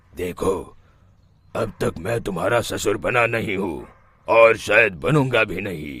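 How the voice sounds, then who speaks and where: A man does a cartoonish character voice with a raspy edge. His pitch is medium and his pace fairly slow. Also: ordinary pitch variation. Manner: stern.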